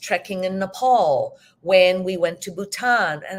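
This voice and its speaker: In a very clean recording with a silent background, a woman with a medium pitch speaks at a fairly slow pace in a plain, everyday voice. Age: 60s. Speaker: teacher and hypnotherapist. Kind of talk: interview.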